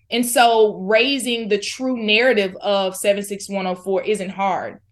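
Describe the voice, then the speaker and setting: A woman with an American accent has an unremarkable speaking voice, fairly high in pitch with ordinary variation. She talks at a moderate pace against a quiet background. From Florida. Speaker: community organizer. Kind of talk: interview.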